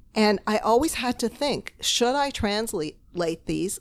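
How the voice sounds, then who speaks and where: Her voice fairly high, a woman speaks with very wide pitch swings. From Toronto, Canada. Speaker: novelist and literature professor. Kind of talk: casual interview chat. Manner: laughs often.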